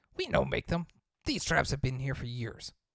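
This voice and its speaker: Someone performs a put-on character voice. The delivery moves at a moderate pace. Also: man, medium pitch for a man. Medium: actual play. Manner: broken, choppy grammar.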